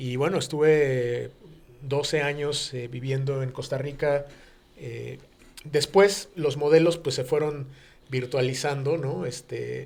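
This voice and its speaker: A man speaks at a very slow pace. His fairly high pitch holds a fairly even intonation. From Mexico City. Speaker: business executive. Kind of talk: radio interview. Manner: halting, many fillers.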